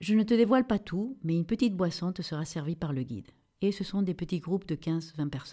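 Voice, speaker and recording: Over a very clean recording with a silent background, a woman speaks in a fairly low, dark, mellow tone. Her voice is somewhat breathy, with lively intonation. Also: fairly quick pace. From Peru, Lima. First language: Spanish (speaking French). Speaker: travel designer. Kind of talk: travel storytelling.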